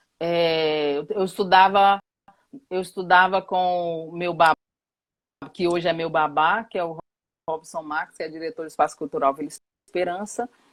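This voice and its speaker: Speaking at a moderate pace with long, frequent pauses, a woman with a fairly low pitch keeps her intonation fairly even, in a dry, close sound with no echo. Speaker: professor and activist. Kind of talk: live talk. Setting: online live stream.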